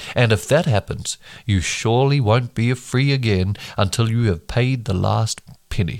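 On a very clean recording with a silent background, a man with a New Zealand accent speaks at a moderate pace and medium pitch, with ordinary pitch variation and very even loudness. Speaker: bible reading podcaster. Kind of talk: reading aloud. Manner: halting over hard names.

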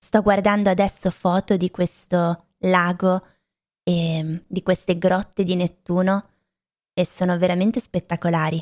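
Speaking at a fairly slow pace in a medium-pitched voice, a woman keeps a monotone, flat intonation in a dry, close recording with no echo. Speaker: language teacher podcaster. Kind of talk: language lesson monologue.

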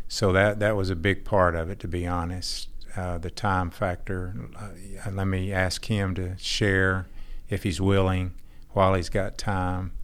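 A man with a very deep, low pitch and an American accent, monotone, flat intonation, a fairly slow pace and audible room echo. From Texas. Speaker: church member. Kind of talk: testimony.

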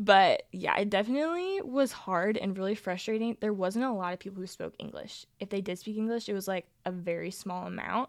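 Recorded very cleanly with a silent background, a normal speaking voice goes at a fairly quick pace. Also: woman, medium pitch for a woman, ordinary pitch variation, hardly any pauses. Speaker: Bible college student. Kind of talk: casual chat.

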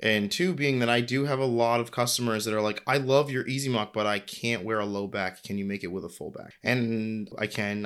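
Here is a man with an American accent and a normal speaking voice. He keeps a moderate pace and ordinary pitch variation. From US Northeast (New England). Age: 30s. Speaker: footwear designer and brand founder. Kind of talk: casual interview.

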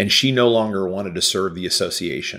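A man speaks with a Midwestern US accent at a fairly low pitch. His tone is bright and sharp, his intonation fairly even. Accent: US Midwest. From Kansas City. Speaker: business consultant. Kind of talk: interview.

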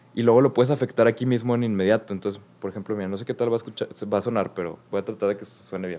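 In a Mexican accent, a man at a medium pitch speaks very fast with fairly even intonation and big swings in loudness. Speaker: podcast co-host, music presenter. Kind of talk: casual chat. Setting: remote recording.

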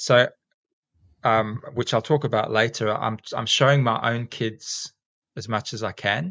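A man with a South African accent speaks at a fairly slow pace with fairly even intonation. His tone is bright and sharp, in a dry, close sound with no echo. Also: medium pitch for a man. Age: 40s. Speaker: teacher and snake catcher. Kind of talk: casual interview chat. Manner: rambling, with many fillers.

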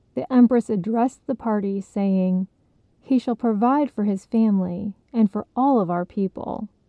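In a natural voice, the text is read aloud with ordinary pitch variation.

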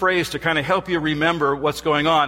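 Music plays behind a man with a high pitch. His intonation stays fairly even. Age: 60s. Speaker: professor and guest preacher. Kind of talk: sermon. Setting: church.

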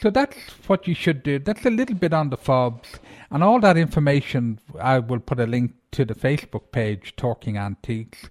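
A man with an Irish accent and a fairly high voice speaks at a moderate pace with lively intonation, in a dry, close recording with no echo. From Ireland. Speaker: antiques show host. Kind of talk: podcast monologue about antiques. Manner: informal, somewhat halting with repeated words.

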